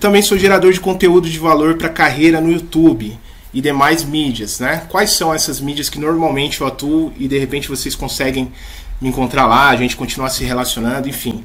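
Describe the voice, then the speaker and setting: A man talks at a fairly quick pace, his pitch fairly high with ordinary variation. Noticeable background noise and audible room echo surround him. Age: 30s. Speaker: leadership coach. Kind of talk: talk to school staff.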